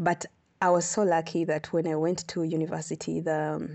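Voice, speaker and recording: A woman with a very deep, low pitch talks with vocal fry in a monotone, flat intonation. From Uganda. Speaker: astronomer. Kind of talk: interview.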